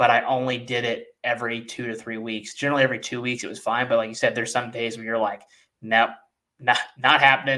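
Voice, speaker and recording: A man at a medium pitch with a bright, sharp tone, monotone, flat intonation, big swings in loudness and a very fast pace. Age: 30s. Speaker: podcast host and strength coach. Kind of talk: casual interview chat.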